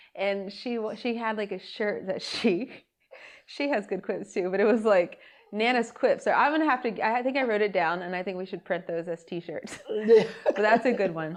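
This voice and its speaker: With a plain, everyday voice, a woman talks at a moderate pace, fairly high in pitch, with ordinary pitch variation. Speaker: podcast host. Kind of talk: casual podcast conversation.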